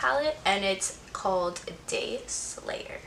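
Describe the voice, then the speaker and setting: A woman is heard speaking with noticeable background noise. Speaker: beauty vlogger. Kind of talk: casual chat. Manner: animated.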